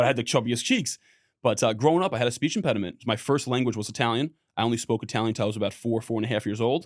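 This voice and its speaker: A man speaks very fast in a New York accent, his pitch medium with ordinary variation. The recording is very clean, with a silent background. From New York, the Bronx. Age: 30s. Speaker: business consultant and keynote speaker. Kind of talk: casual chat.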